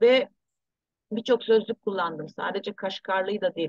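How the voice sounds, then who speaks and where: In a plain, everyday voice, a woman speaks at a fairly slow pace, with a dry, close sound and no echo. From abroad, returned to Turkey in 1984. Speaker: researcher and author. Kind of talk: interview.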